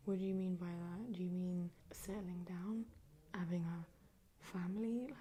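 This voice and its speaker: Soft-spoken and at a medium pitch, a woman talks at a fairly slow pace with fairly even intonation. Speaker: ASMR creator. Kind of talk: soft-spoken ASMR advice reading.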